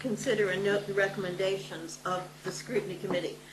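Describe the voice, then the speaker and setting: There's audible room echo and noticeable background noise as a woman speaks at a medium pitch. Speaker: local councillor. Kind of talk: council meeting report. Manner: formal, hesitant.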